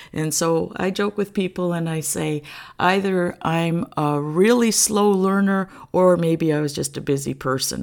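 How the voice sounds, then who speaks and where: A woman talks at a fairly slow pace in a fairly low voice with ordinary pitch variation. The recording is very clean, with a silent background. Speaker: podcast host. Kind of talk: casual faith talk. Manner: relaxed.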